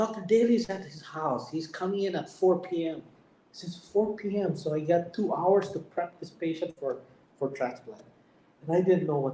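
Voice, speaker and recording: A high-pitched man's voice with a Filipino accent and ordinary pitch variation. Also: moderate pace. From Philippines. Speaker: heart surgeon. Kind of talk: testimony. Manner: halting, repetitive.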